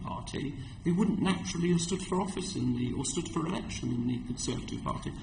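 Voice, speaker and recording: With very wide pitch swings, a man talks fairly quickly at a fairly high pitch, and room echo is audible. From London, England. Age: 60s. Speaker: community organisation representative. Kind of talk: committee hearing testimony. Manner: halting.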